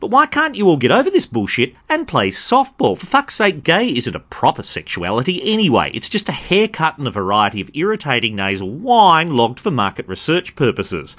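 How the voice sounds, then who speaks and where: A man talks at a fairly quick pace with hardly any pauses. His fairly high voice has vocal fry and very wide pitch swings. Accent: Australian. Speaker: podcast host. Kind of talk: monologue commentary. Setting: recorded at a party.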